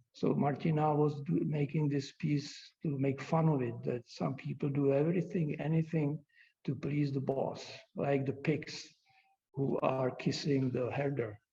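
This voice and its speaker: Somewhat breathy and dark, mellow in tone, a man speaks at a fairly slow pace and fairly high pitch, with fairly even intonation and very even loudness. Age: 70s. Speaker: glass artist. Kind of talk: lecture. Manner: halting.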